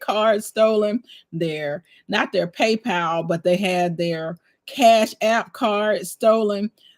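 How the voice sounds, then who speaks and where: Very slowly and at medium pitch, a woman speaks with ordinary pitch variation in a very clean recording with a silent background and a dry, close sound with no echo. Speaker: livestream host, homesteader. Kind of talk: casual livestream chat. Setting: live stream.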